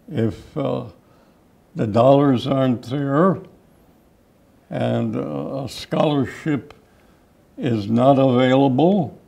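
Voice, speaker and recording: A man at a very slow pace, medium pitch, ordinary pitch variation, and long, frequent pauses. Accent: Chicago. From Chicago area, Illinois (Cicero). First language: Czech. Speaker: park district commissioner. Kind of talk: interview.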